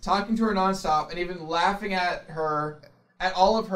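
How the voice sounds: The natural reading voice shows ordinary pitch variation.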